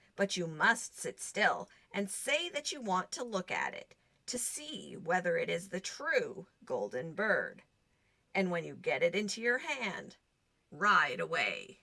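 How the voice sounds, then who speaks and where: Using a put-on character voice, a woman speaks at a medium pitch and a fairly slow pace. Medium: read story. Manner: calm, advising.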